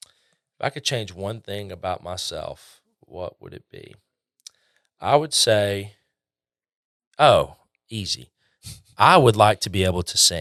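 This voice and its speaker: In a southern Alabama accent, a man talks at a very slow pace with long, frequent pauses and big swings in loudness. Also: very clean recording, silent background. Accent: Southern Alabama accent, noticeable. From northeast Alabama. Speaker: customer success manager. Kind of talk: casual interview chat.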